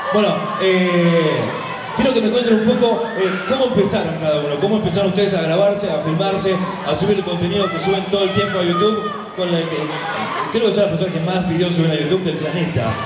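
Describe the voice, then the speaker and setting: Speech comes at a very fast pace over loud background noise. The room echo is audible. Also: man. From Argentina. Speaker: event panel interviewer. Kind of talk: live stage interview. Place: stage.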